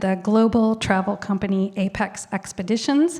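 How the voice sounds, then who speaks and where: An unremarkable speaking voice belongs to a woman who talks at a moderate pace, medium in pitch with ordinary pitch variation. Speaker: lecture series host. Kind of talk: speaker introduction.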